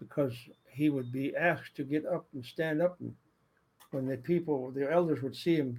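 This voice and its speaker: A man's somewhat breathy voice moves at a moderate pace with ordinary pitch variation. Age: 70s. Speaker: storyteller. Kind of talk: personal storytelling. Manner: halting, repetitive. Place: home room. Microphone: webcam.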